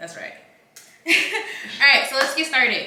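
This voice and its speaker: A woman speaks loudly in an animated tone. Room echo is audible, along with noticeable background noise. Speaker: lifestyle vlogger. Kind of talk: casual chat.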